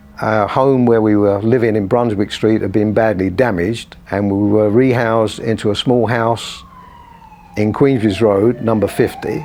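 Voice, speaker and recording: Over noticeable background noise, a man speaks at a fairly low pitch and moderate pace with fairly even intonation. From London, Shoreditch (East End). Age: 80s+. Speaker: long-time resident. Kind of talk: interview testimony.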